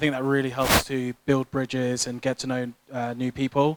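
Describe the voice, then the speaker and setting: Dry and close with no echo, a man's fairly high voice moves at a moderate pace in a monotone, flat intonation. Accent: British. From UK, British Nigerian. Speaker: tech professional. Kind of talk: panel discussion.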